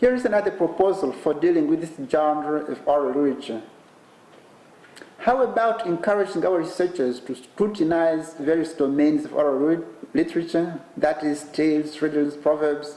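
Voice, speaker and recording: At a moderate pace, a man with a fairly high pitch and ordinary pitch variation speaks over noticeable background noise and audible room echo. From Eastern DR Congo. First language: Kinande. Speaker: professor giving keynote. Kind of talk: lecture. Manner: formal.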